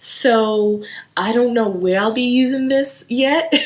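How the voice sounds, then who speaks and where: A woman speaks in a high pitch. Noticeable background noise runs underneath. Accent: slight Haitian. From Haiti, moved to US around age eight. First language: Haitian Creole or French. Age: 30s. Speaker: home decor vlogger. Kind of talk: casual show-and-tell haul video. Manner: chatty, with fillers and self-repeats.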